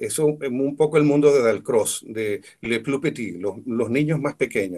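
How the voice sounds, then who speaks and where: A man with a plain, everyday voice talks at a moderate pace in a fairly high pitch. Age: 60s. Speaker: musician and music teacher. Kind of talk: talk to students.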